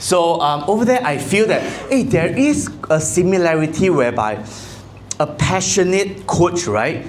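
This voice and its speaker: Lively intonation marks a man's speech in a Malaysian accent. Noticeable background noise and audible room echo are present. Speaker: insurance agency leader. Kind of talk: motivational talk. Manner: loud.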